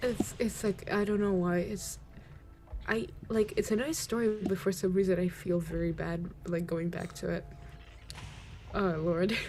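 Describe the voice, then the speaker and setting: Music plays in the background while a woman speaks at a fairly slow pace with long, frequent pauses. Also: medium pitch for a woman, fairly even intonation. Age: 18. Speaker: streamer. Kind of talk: casual chat.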